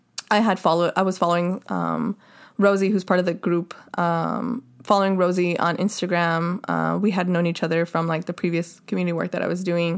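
Here a woman with an American accent talks at a medium pitch and a moderate pace. The recording is very clean, with a silent background. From Los Angeles (Boyle Heights). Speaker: DJ and social justice advocate. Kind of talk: casual interview chat.

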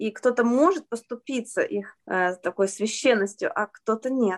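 A woman's normal speaking voice, fairly high in pitch with ordinary pitch variation, at a moderate pace, dry and close with no echo over a quiet background. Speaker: children's author and translator. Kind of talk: interview.

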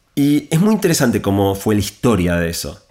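A man's fairly low voice with a Rioplatense accent, at a moderate pace. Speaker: author and technology speaker. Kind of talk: interview.

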